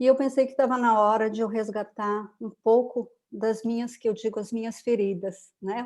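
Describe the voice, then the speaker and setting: Her intonation monotone and flat, a woman speaks at a fairly high pitch. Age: 60s. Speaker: holistic therapist, retired educator. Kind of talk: interview, personal story.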